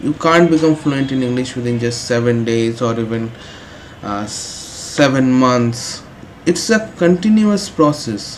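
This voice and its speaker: Noticeable background noise is present. The speaking pace is fairly slow. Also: man, medium pitch for a man. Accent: Indian. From India. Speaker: English teacher. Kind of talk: tutorial. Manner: frequent hesitations (uh).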